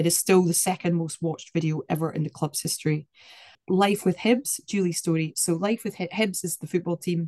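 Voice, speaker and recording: A woman speaks in a Scottish accent at a moderate pace. Her fairly low voice has a dark, mellow tone. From Scotland. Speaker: activist. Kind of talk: interview.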